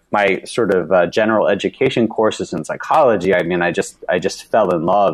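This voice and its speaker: With an American accent, a man talks at a fairly quick pace in a fairly low pitch, using a normal speaking voice. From US South, Alabama. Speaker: psychologist and investment firm founder. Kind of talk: interview.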